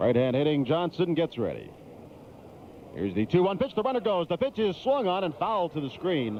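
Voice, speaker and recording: Energetic and fairly quick, a man talks at a high pitch with very wide pitch swings. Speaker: sports play-by-play announcer. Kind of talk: baseball play-by-play. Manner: energetic, polished.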